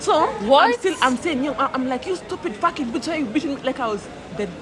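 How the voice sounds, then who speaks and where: A woman talks very fast in a high, animated voice with very wide pitch swings, against noticeable background noise. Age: 20s. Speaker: podcast guest sharing mental health story. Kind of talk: casual chat.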